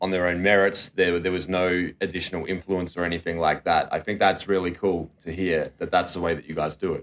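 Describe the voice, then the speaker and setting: The man's voice sits at a very deep, low pitch. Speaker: podcast host. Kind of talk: casual interview. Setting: hotel room studio.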